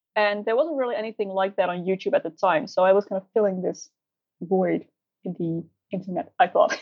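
A woman with a Dutch accent, lively intonation and a fairly quick pace. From Netherlands. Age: 20s. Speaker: beauty YouTuber. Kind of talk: casual interview. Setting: remote call.

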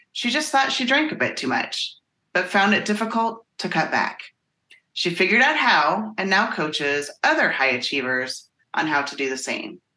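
A woman with a bright, sharp tone and vocal fry makes very wide pitch swings at a moderate pace. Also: medium pitch for a woman. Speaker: life coach. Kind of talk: casual chat.

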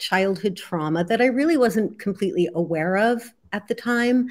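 Fairly slow and somewhat breathy, a woman with an American accent speaks at a fairly high pitch with very wide pitch swings on a very clean recording with a silent background. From US Northeast, New Jersey. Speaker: healer and author. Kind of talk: interview.

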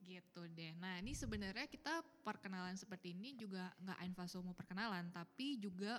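Delivered at a moderate pace with ordinary pitch variation, this is a plain, everyday voice. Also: woman. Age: 20s. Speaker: podcast co-host. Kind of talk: casual chat.

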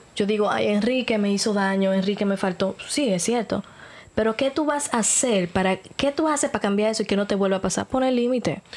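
A woman speaks in a plain, everyday voice at a medium pitch, with ordinary pitch variation. Her pace is fairly quick and her loudness very even. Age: 30s. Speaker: podcast host. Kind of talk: casual chat.

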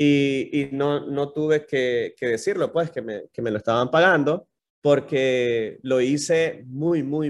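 A man speaks with a fairly high pitch and fairly even intonation. His pace is very slow, with hardly any pauses. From Nicaragua. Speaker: YouTube content creator. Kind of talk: casual interview chat.

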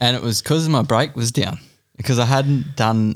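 This man has an Australian accent and a medium pitch. He talks at a moderate pace. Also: very clean recording, silent background. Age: 30s. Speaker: enduro mountain bike racer. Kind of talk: casual chat.

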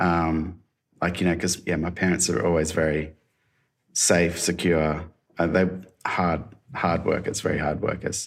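In an Australian accent, a man with a very deep, low pitch speaks at a fairly slow pace with a monotone, flat intonation and long, frequent pauses. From Australia, mid-north coast of New South Wales. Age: 40s. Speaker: designer and creative director. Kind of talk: casual interview. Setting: video call.

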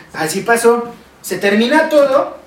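Noticeable background noise and audible room echo around a man whose pitch swings very widely. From Mexico. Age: 20s. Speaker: podcast guest, friend of host. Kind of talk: casual chat.

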